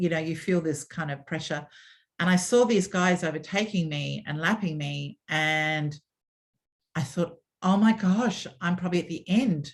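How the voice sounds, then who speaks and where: With an Australian accent, a woman speaks at a moderate pace in a fairly low pitch with ordinary pitch variation over a quiet background. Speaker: former media executive and swim school founder. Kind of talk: interview storytelling. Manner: animated.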